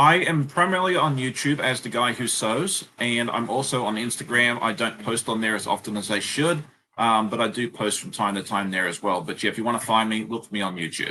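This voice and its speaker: A man's medium-pitched voice with an Australian accent, bright and sharp in tone, lively in intonation, fairly quick and with hardly any pauses. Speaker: sewing YouTuber. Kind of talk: live stream chat.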